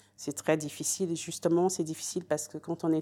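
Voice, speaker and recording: A woman's dark, mellow, very deep, low voice in a monotone, flat intonation, on a very clean recording with a silent background. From France, Paris. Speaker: historian. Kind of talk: interview. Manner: halting, many hesitations.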